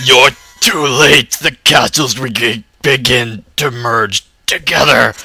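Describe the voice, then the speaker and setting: In a raspy, put-on character voice, the speaker talks at a very slow pace. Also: man, medium pitch for a man. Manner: theatrical, ominous.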